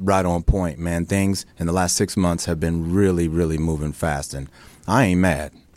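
On a very clean recording with a silent background, the speech carries fairly even intonation. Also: man. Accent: American. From Chicago, then Northern California. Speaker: soap opera actor. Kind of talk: casual interview chat.

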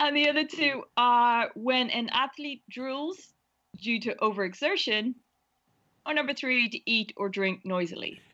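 A bright, sharp tone with lively intonation at a fairly slow pace. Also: woman. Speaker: game participant reading words.

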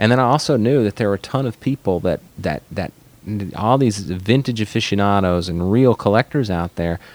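This man has an unremarkable speaking voice with an American accent, pitched fairly low. He talks at a fairly quick pace with ordinary pitch variation. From Arkansas, US South. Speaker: watch brand manager. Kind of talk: casual interview. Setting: studio at watch company office.

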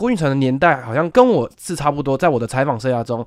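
A man with a plain, everyday voice at medium pitch and a fairly quick pace, in a dry, close sound with no echo, on a very clean recording with a silent background. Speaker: senior sports reporter. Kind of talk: casual chat.

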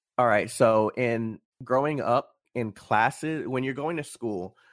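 A man with an American accent talks at a medium pitch and ordinary pitch variation, captured on a very clean recording with a silent background. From Florida, St. Petersburg. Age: 20s. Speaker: esports program organizer. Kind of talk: casual interview. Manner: hesitant, many fillers.

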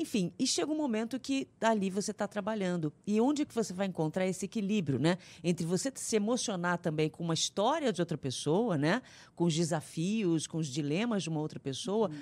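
A woman with an unremarkable speaking voice talks at a fairly quick pace, her pitch medium and her intonation lively. The recording is very clean, with a silent background. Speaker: radio host. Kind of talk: interview.

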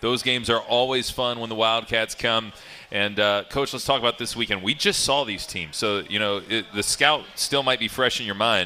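A man talks at a moderate pace with a medium pitch and ordinary pitch variation. Noticeable background noise runs underneath. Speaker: radio show host. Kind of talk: sports radio interview.

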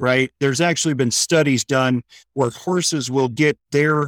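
This man talks at a very slow pace with a medium pitch and ordinary pitch variation. The recording is very clean, with a silent background and a dry, close sound with no echo. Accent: American. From US Midwest, St. Louis, Missouri. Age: 40s. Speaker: veterans equine therapy organizer. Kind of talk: interview, casual storytelling.

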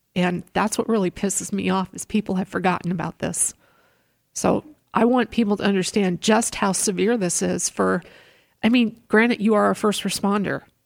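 A woman with a normal speaking voice speaks at a medium pitch and moderate pace with fairly even intonation. The recording is very clean, with a silent background and a dry, close sound with no echo. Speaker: radio host and former traffic reporter. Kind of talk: interview.

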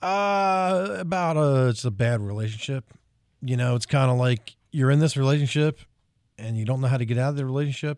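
Speaking at a fairly quick pace with lively intonation, a man has a plain, everyday voice at medium pitch with an American accent, on a very clean recording with a silent background. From South Jersey, US. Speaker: country singer. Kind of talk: radio interview. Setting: radio studio.

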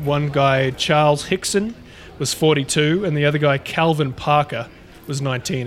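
With an Australian accent and fairly high pitch, a man speaks at a fairly slow pace with ordinary pitch variation over noticeable background noise. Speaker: podcast co-host. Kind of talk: casual chat.

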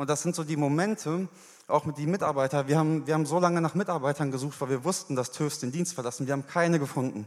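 Ordinary pitch variation marks this man's speech. He talks at a very fast pace. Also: fairly high pitch for a man. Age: 20s. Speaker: church member giving testimony. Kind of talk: sermon testimony. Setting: church stage.

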